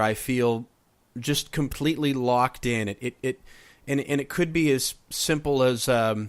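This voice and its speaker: In a very clean recording with a silent background, a man speaks in a plain, everyday voice at medium pitch, with fairly even intonation and a fairly slow pace. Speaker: podcast host. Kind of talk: podcast interview questions.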